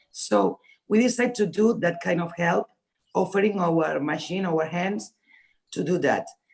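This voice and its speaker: A woman with a Spanish accent speaks at a moderate pace with lively intonation and long, frequent pauses. Her voice is fairly low and has vocal fry. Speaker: fashion designer. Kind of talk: panel discussion. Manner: halting.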